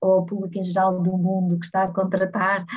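This woman talks at a fairly quick pace in a medium-pitched, somewhat breathy voice. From Portugal, Porto. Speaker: head of people and culture at a startup. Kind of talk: casual interview.

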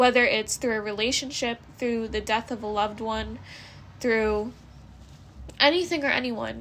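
A woman speaks with a high pitch. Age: 20s. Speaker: podcast host. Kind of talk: personal monologue.

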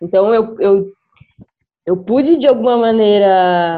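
Her voice is a plain, everyday voice: a woman at medium pitch with ordinary pitch variation. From Brazil, interior of Mato Grosso do Sul. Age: 20s. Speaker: beatmaker. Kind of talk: casual discussion.

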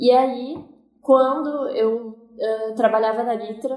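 A woman is speaking. Room echo can be heard. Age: 20s. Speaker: cinematographer. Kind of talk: interview.

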